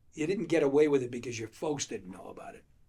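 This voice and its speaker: A man speaks in a New England accent with a somewhat breathy sound. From Leominster, Massachusetts. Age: 70s. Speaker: former mayor. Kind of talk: oral history interview. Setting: library. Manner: halting.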